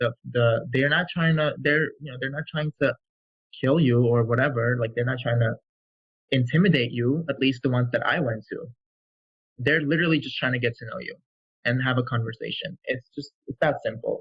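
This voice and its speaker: A somewhat breathy man with an American accent, at a moderate pace with fairly even intonation. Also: medium pitch for a man. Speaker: physician assistant student. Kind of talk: interview. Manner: halting.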